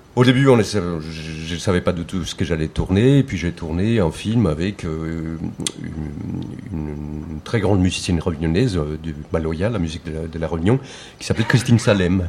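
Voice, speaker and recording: A man with very deep, low pitch, lively intonation and a moderate pace, amid noticeable background noise. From Colombia. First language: Spanish (speaking French). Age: 40s. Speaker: filmmaker. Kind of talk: panel discussion.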